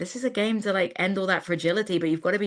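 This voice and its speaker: A woman with an English accent speaks in a bright, sharp tone on a very clean recording with a silent background. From England. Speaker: football commentator. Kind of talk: casual chat.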